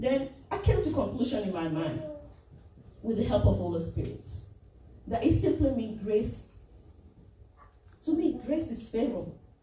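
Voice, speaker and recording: With a Nigerian accent, the voice swings very widely in pitch, breaks often into long pauses, and carries audible room echo. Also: woman, fairly high pitch for a woman, moderate pace. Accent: Nigerian (Yoruba) English. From Nigeria (Yoruba). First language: Yoruba. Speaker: lay preacher and children's church teacher. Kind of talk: sermon.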